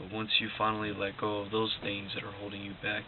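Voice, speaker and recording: A quiet man's voice in monotone, flat intonation, with audible room echo and noticeable background noise. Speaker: motivational vlogger. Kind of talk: casual motivational monologue. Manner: quiet, low-energy; halting, repetitive.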